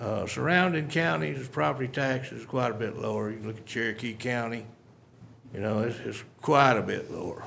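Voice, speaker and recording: With an East Texas accent, a man talks at medium pitch with lively intonation and big swings in loudness, and audible room echo surrounds him. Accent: East Texas Southern drawl. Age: 60s. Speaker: local resident speaking at public hearing. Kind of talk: public comment at county budget hearing. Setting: county commissioners court meeting.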